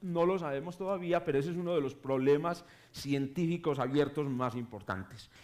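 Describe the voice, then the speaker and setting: A man is speaking. His pace is moderate. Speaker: astronomy professor. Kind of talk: public lecture. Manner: halting, many self-corrections.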